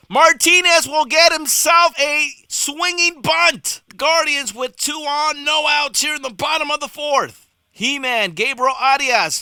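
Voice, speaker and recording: A man speaks in a raised, projected voice with an extremely high pitch and a bright, sharp tone. His pace is fairly slow, with ordinary pitch variation and hardly any pauses. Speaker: baseball play-by-play announcer. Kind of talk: baseball play-by-play broadcast demo reel.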